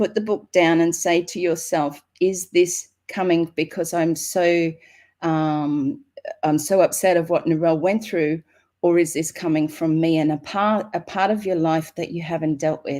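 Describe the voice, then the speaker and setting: In an Australian accent, a woman with a dark, mellow tone and fairly low pitch speaks at a moderate pace with fairly even intonation, on a very clean recording with a silent background. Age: 60s. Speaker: author and motivational speaker. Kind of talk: inspirational talk.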